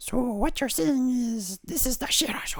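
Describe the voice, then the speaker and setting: A put-on character voice speaks at a fairly high pitch and moderate pace. Light background noise can be heard. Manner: put-on, comedic.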